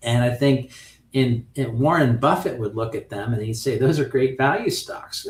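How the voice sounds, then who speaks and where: At a moderate pace, a man speaks at medium pitch, sounding somewhat breathy. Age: 60s. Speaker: options trading instructor. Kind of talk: lecture. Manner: casual, conversational with fillers.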